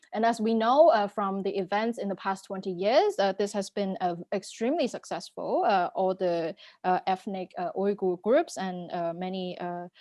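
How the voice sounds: A woman's medium-pitched voice with a dark, mellow tone, ordinary pitch variation, and a moderate pace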